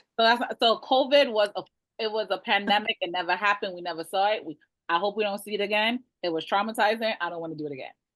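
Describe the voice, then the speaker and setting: A woman with a Jamaican accent talks at a very fast pace in an animated tone. Her pitch is medium, with ordinary pitch variation and big swings in loudness. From Brooklyn, New York (East New York), Jamaican family. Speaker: realtor. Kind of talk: webinar presentation. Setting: video call.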